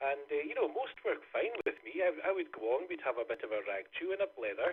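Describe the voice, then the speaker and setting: A man with a Scottish accent talks at a very fast pace. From Scotland. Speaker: amateur radio operator. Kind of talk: radio net check-in. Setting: amateur radio net. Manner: hesitant, many fillers.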